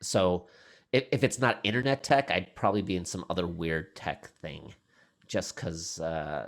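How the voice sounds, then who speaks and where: On a very clean recording with a silent background, a man with a very deep, low pitch speaks at a fairly slow pace with lively intonation. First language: not English. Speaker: tech professional, podcast guest. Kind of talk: casual interview chat. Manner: halting, many repeated words.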